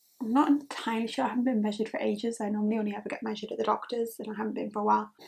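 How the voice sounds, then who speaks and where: A woman with a slight Geordie accent speaks in a fairly high, somewhat breathy voice. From northern England, Newcastle. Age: 20s. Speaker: beauty vlogger. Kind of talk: chatty get-ready-with-me talk. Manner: casual, lots of fillers.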